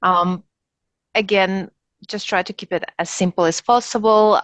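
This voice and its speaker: A woman with a non-native accent speaks at a moderate pace with fairly even intonation, her voice dry and close with no echo against a quiet background. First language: not English. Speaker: top-performing graduate of a professional diploma. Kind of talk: webinar Q&A. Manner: halting, many fillers.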